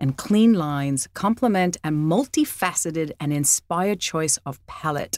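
A woman with an Australian accent talks fairly slowly at a fairly low pitch, her intonation lively. The very clean recording has a silent background and a dry, close sound with no echo. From Australia, Sydney. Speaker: podcast host, real estate. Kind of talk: interview; reading a scripted introduction.

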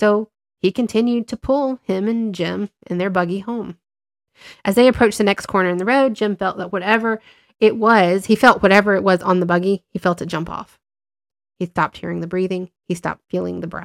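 This woman has a normal speaking voice of medium pitch, talking at a fairly quick pace with fairly even intonation, and the very clean recording has a silent background and a dry, close sound with no echo. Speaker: podcast host and tarot reader. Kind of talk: ghost story telling, hushed and suspenseful spooky narration. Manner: warm and conversational.

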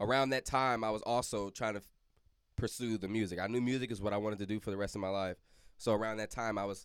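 Over a silent background in a very clean recording, a man with a fairly low pitch speaks very fast with fairly even intonation. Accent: St. Louis. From St. Louis, Missouri. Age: 20s. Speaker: recording music artist. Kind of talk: casual chat.

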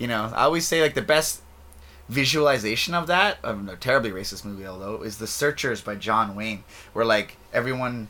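A man's medium-pitched voice, bright and sharp in tone, with lively intonation, a fairly quick pace and big swings in loudness. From interior British Columbia, Canada. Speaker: guest. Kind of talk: casual chat.

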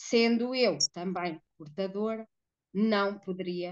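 A woman talks at a very slow pace. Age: 40s. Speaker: woman living with HIV. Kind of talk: testimony.

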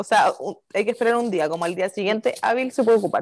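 Against a quiet background, a woman speaks in a Chilean accent. Her intonation is lively and her pace fairly quick. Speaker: podcast co-host. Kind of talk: casual chat.

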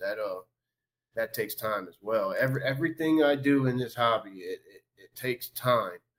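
A man speaks with a Southern Louisiana accent. His pace is moderate. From Louisiana, Covington. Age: 30s. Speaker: sports card collector. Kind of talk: interview.

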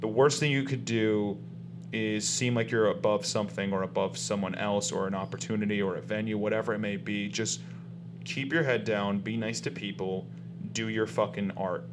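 A man speaks with an American accent at a moderate pace. Room echo is audible. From US South, South Florida. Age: 30s. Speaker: comedian and actor. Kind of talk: casual chat.

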